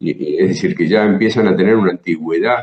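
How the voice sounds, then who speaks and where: A man speaks with a fairly low pitch. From Buenos Aires province, Argentina. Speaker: jazz guitarist and teacher. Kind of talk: interview answer.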